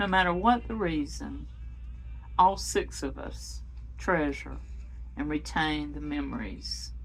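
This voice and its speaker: A woman at a fairly slow pace, with music in the background. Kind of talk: personal memoir reading.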